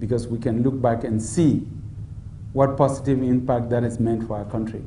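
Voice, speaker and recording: Room echo is audible as a man talks at a moderate pace. His intonation is monotone and flat. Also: medium pitch for a man. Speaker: democracy expert. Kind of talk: public Q&A dialogue. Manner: soft-spoken.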